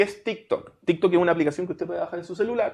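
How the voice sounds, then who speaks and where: This man has a Chilean accent and a high pitch. His intonation is lively. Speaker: podcast host. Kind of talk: casual interview chat.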